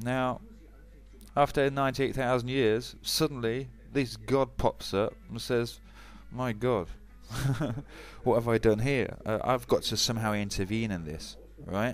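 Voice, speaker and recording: A man speaks at a fairly slow pace with long, frequent pauses. Music plays in the background. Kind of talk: casual talk to camera.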